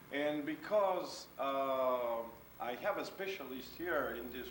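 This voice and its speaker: Amid noticeable background noise and audible room echo, a man speaks with a fairly high pitch and ordinary pitch variation. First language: French. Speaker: photographer. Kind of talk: illustrated talk. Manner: halting.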